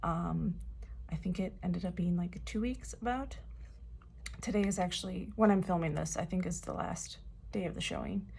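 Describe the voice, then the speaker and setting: There is audible room echo as a woman talks at a moderate pace. She leaves long, frequent pauses. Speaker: K-pop fan vlogger. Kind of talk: casual vlog review. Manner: hesitant, many filler words.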